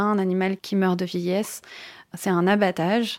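The recording is very clean, with a silent background. A woman speaks at a moderate pace in a monotone, flat intonation. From southern France (Tourrettes-sur-Loup, Alpes-Maritimes). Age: 30s. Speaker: animal portrait artist. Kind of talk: personal testimony. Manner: hesitant, many fillers.

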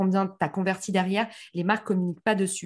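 A woman speaks at a very fast pace in a somewhat breathy voice against a quiet background. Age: 30s. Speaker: marketing entrepreneur. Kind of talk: interview.

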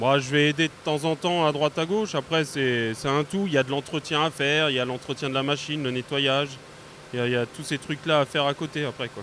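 Talking very fast, a man with a fairly high pitch keeps his intonation fairly even. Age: 30s. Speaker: sawmill worker. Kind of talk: interview.

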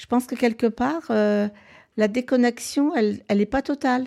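The woman's voice has a dark, mellow tone. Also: very clean recording, silent background. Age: 70s. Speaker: guest with a personal question. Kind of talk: casual conversation, personal testimony. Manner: hesitant, halting.

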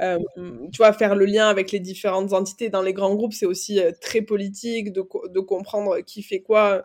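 A woman's unremarkable speaking voice: medium pitch, moderate speed, fairly even intonation. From France, Aveyron. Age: 20s. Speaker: agency founder. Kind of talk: interview. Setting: video call.

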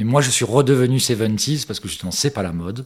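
He has an ordinary speaking voice. A man speaks at a moderate speed, his pitch varying in an ordinary way. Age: 50s. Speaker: vintage enthusiast. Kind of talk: interview testimony.

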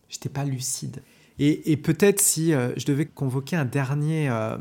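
On a very clean recording with a silent background, a man speaks at medium pitch and a moderate pace. His voice is somewhat breathy with a dark, mellow tone and ordinary pitch variation. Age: 40s. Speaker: film studies teacher. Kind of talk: casual chat. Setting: at his home.

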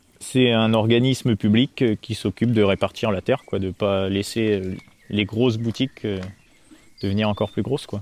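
Moderate pace from a man with fairly low pitch and fairly even intonation. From Normandy, France (near Caen). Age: 20s. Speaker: dairy farmer. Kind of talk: interview. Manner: hesitant with filler words.

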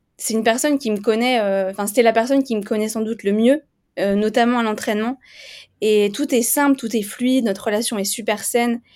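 Her voice is an unremarkable speaking voice, a woman's with a fairly high pitch and fairly even intonation. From eastern France (Vosges). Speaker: race walker athlete. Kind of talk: interview.

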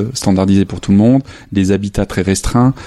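Against noticeable background noise, a man talks at a fairly low pitch with fairly even intonation. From northern France, near Lille. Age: 30s. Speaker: photographer. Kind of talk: interview. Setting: home studio. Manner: halting.

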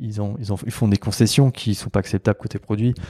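Very clean recording of a man with a fairly low, dark, mellow voice and fairly even intonation, dry and close with no echo, over a silent background. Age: 30s. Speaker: product designer. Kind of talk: casual interview chat.

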